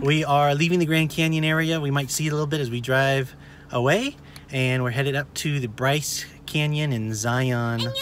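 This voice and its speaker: A man at a moderate pace with fairly even intonation, dry sound with no echo, and light background noise. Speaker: family vlogger. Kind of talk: casual vlog chat. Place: car. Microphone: phone near.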